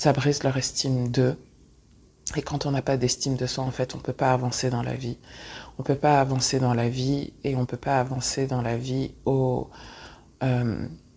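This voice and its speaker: A woman's very deep, low voice, dark and mellow in tone, monotone and flat, at a fairly slow pace with long, frequent pauses. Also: very clean recording, silent background. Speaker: spiritual teacher and podcast host. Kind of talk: podcast monologue on personal growth. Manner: many filler hesitations (euh).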